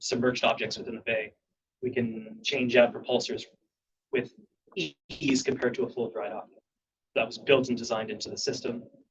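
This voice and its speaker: Somewhat breathy, a man speaks with long, frequent pauses and big swings in loudness. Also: medium pitch for a man, ordinary pitch variation, fairly quick pace. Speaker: ferry agency engineering staff presenter. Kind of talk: board meeting presentation. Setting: public board meeting. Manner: fast.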